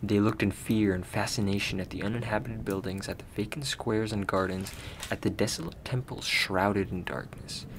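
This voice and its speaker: A man with an ordinary speaking voice, fairly low pitch, fairly even intonation and a fairly quick pace. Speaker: audiobook narrator, reader of short stories. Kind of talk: fantasy story narration.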